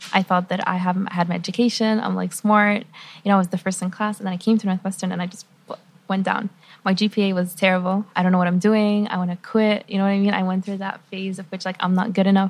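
Somewhat breathy and at a medium pitch, a woman speaks at a very fast pace with monotone, flat intonation. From Lebanon / Qatar (Lebanese Palestinian, raised mostly in Qatar). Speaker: university student. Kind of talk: interview.

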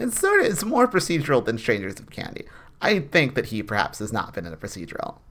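Very fast talk from a man with fairly high pitch, vocal fry, very wide pitch swings and big swings in loudness. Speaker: podcast co-host. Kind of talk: casual chat.

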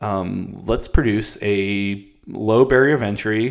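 In a normal speaking voice, a man talks with fairly even intonation and a fairly low pitch. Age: 30s. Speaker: ecommerce founder, seasoning company owner. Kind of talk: interview.

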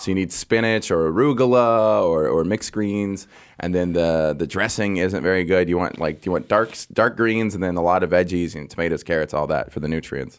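A man talks at a fairly quick pace with hardly any pauses. His pitch is very deep and low. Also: ordinary pitch variation. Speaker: comedian. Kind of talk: casual chat. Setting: studio. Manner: loud.

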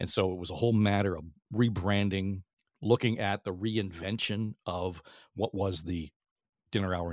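Fairly low in pitch, this man has an ordinary speaking voice with ordinary pitch variation. The sound is dry and close with no echo, on a very clean recording with a silent background. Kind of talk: interview.

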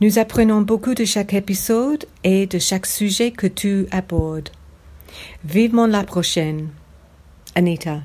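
A woman with an English accent speaks at a fairly slow pace in a dark, mellow, somewhat breathy tone. Her pitch varies ordinarily, and she leaves long, frequent pauses. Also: medium pitch for a woman. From England. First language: English (speaking French). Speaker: podcast listener, French learner. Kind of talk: recorded listener testimony.

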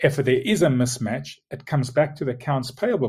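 A man speaks with a South African accent at a fairly quick pace. His voice is somewhat breathy. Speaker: logistics tech executive.

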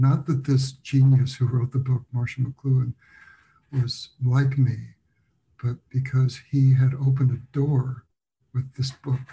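Speaking with an American accent, a man uses a medium pitch, a dark, mellow tone and a somewhat breathy voice, with monotone, flat intonation at a fairly slow pace broken by long, frequent pauses. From United States. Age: 70s. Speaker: documentary filmmaker. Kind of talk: interview.

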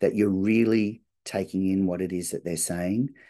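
A man's very deep, low voice with a dark, mellow tone and an Australian accent, ordinary pitch variation and a moderate pace, against a quiet background. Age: 50s. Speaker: business strategy consultant. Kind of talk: interview conversation. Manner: halting, many fillers.

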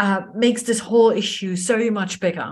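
A woman talks at a moderate pace in an enthusiastic tone. Her voice is somewhat breathy, and the background is quiet. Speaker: podcast host. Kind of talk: podcast interview. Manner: extroverted, enthusiastic.

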